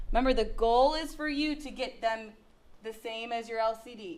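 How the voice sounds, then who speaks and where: Audible room echo surrounds a woman speaking at a high pitch and a moderate pace. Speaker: math teacher. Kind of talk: classroom lecture. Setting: classroom with students.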